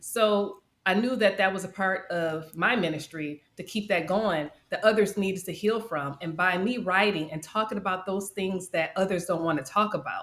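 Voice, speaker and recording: Using an ordinary speaking voice, a woman with an American accent talks at a moderate pace at a medium pitch with ordinary pitch variation. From Detroit, US Midwest. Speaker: life coach and podcaster. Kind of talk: interview testimony.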